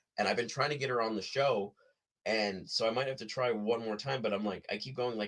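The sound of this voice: Speaking at a fairly quick pace, a man has a fairly low pitch and a fairly bright tone.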